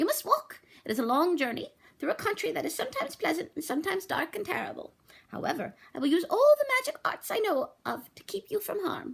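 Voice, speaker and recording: Doing a put-on character voice, a woman speaks at a very fast pace with an extremely high pitch and very wide pitch swings. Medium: read story. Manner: gentle, kindly.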